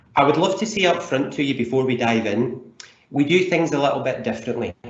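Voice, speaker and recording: With audible room echo, a man talks at a fairly quick pace in a Scottish accent. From Scotland. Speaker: leadership coach. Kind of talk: webinar presentation. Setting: online webinar.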